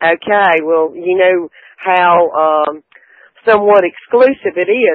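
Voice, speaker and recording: This woman talks very slowly with a Southern US accent. Her pitch is fairly low, with ordinary variation. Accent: Southern US, noticeable. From South Carolina. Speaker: caller. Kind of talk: phone-in chat. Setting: phone call.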